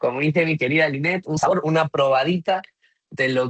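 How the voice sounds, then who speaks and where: A man with a Spanish accent, fairly high in pitch, at a moderate pace. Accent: Spanish (Spain). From Spain. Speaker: customer experience consultant. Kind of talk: webinar presentation.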